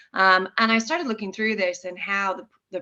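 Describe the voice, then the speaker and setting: This woman has an American accent and a normal speaking voice. She talks at a moderate pace with fairly even intonation. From United States. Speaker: business growth consultant at a software company. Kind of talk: webinar presentation. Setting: online webinar. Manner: frequent filler words (um, uh).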